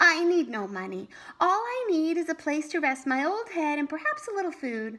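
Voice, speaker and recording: A woman performs a put-on character voice. It sits at an extremely high pitch. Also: moderate pace. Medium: read story.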